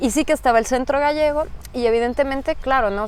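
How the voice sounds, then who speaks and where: With a strong Mexican accent, a woman talks at a moderate pace. Her pitch varies in an ordinary way. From Mexico, Mexico City. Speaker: migrant interviewee. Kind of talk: interview.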